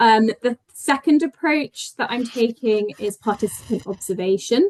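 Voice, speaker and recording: Recorded dry and close with no echo, a woman speaks in a British accent at a fairly slow pace. Her pitch is fairly high and varies in an ordinary way. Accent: sounds very British. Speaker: PhD researcher and health insights manager. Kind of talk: conference talk. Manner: hesitant, with frequent ums and restarts.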